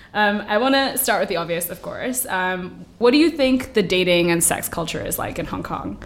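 With hardly any pauses, a woman talks at a moderate pace in a medium pitch with lively intonation, and there is audible room echo. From Indian heritage. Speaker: podcast host. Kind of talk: casual chat.

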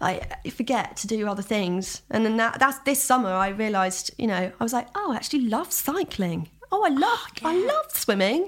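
A woman with a London accent, very wide pitch swings, a fairly quick pace and hardly any pauses. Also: fairly high pitch for a woman. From Southeast London. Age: 20s. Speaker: musician. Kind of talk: casual chat.

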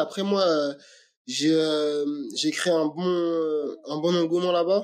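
A very slow man's voice, fairly high in pitch with fairly even intonation, on a very clean recording with a silent background. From France, Aubervilliers (Paris suburbs). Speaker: MMA fighter. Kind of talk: interview. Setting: call. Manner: halting, many repetitions and fillers.

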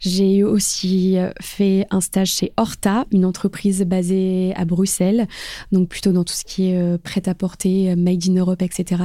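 A woman speaks very slowly at a medium pitch, her dark, mellow tone held to a flat monotone on a very clean recording with a silent background. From northern France, Lille. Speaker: influence project manager. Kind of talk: interview. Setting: office.

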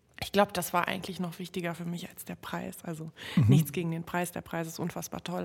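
This woman's pitch is fairly low. Her voice has vocal fry. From Berlin (Neukölln), born in Warsaw. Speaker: singer-songwriter. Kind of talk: interview.

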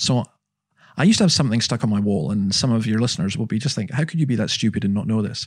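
Speaking very fast, a man keeps a medium pitch with ordinary variation, recorded very cleanly against a silent background. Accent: Scottish. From Scotland. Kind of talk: interview, personal storytelling.

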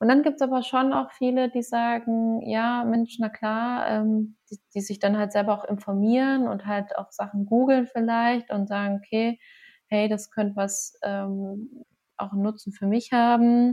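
At a fairly slow pace, a woman speaks in a fairly high, somewhat breathy voice with fairly even intonation. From Lower Bavaria, Passau. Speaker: physician and cancer researcher, yoga teacher. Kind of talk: casual interview.

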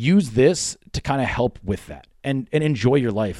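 This is a man with an American accent and an unremarkable speaking voice. He talks at a fairly slow pace with lively intonation. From Pennsylvania, Poconos. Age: 30s. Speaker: fitness gym owner and trainer. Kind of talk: casual interview. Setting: gym.

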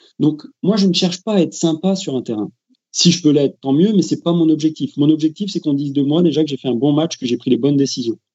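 This man talks very fast, his fairly high voice showing ordinary pitch variation. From France. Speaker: football referee. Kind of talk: interview.

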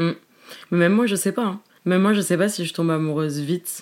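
With an unremarkable speaking voice, a woman of fairly low pitch speaks with ordinary pitch variation in a very clean recording with a silent background. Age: 20s. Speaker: social media comedian. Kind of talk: casual chat.

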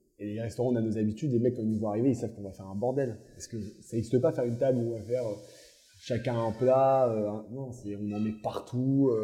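Talking at a very fast pace, a man with a medium-pitched, somewhat breathy voice and a dark, mellow tone keeps a fairly even intonation while his loudness swings widely. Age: 20s. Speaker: bakery co-owner. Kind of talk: casual chat.

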